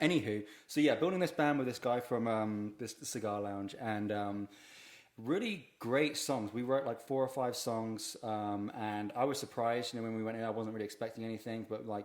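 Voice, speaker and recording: This man speaks with a British accent. His voice is medium in pitch with ordinary pitch variation. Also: moderate pace. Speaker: comedian and drummer. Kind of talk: casual chat.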